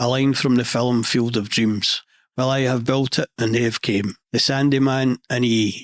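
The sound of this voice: In a west central Scottish accent, a man speaks at a fairly slow pace with a medium pitch, fairly even intonation and a deadpan tone, the sound dry and close with no echo. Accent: Scottish, west central Scotland.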